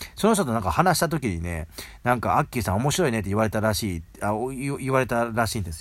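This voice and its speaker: A man speaks at a very fast pace and medium pitch. His pitch swings very widely, and the recording is very clean with a silent background. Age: 40s. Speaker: podcast host. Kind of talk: casual monologue with book reading. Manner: casual, many fillers.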